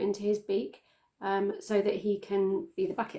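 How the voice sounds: A woman's slightly mellow tone at a moderate pace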